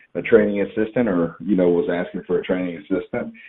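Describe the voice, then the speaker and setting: A man talks with a slight Southern US accent. His pitch is very deep and low, with ordinary variation. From Georgia, US South. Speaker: professional wrestler and wrestling trainer. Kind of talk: podcast interview. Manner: relaxed, hesitant with fillers.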